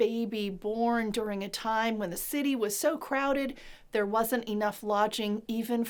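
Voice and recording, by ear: The pitch varies in an ordinary way as someone is reading aloud in a natural voice.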